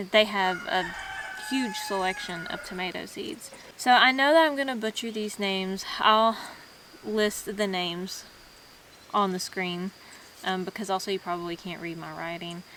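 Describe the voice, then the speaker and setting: A woman with a Southern US accent speaks at a medium pitch and a moderate pace, with ordinary pitch variation, long, frequent pauses and big swings in loudness, over noticeable background noise. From US South. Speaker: homesteading vlogger. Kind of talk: casual tutorial vlog. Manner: casual, halting in places.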